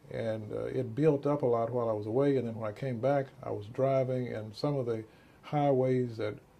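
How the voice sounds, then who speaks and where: In a Texan accent, a man at medium pitch speaks at a moderate pace with a dark, mellow, somewhat breathy tone and fairly even intonation. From Texas, Dallas. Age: 60s. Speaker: physician. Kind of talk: interview.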